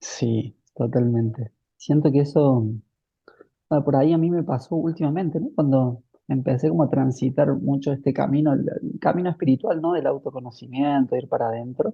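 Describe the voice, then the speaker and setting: Somewhat breathy and fairly high in pitch, a man speaks at a moderate pace with ordinary pitch variation. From Argentina, Córdoba. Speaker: spiritual teacher. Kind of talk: casual chat.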